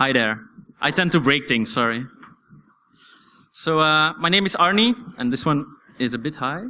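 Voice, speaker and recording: A man with a non-native accent and a fairly high pitch, lively intonation at a moderate pace, long and frequent pauses, on a very clean recording with a silent background. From Belgium. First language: Dutch. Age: 20s. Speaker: security researcher. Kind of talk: conference talk. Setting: stage with audience. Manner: hesitant, many fillers.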